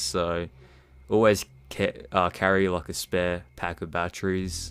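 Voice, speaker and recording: An Australian accent on a very clean recording with a silent background. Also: man. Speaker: cryptid hunter vlogger. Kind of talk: casual talk to camera. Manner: halting, stuttering.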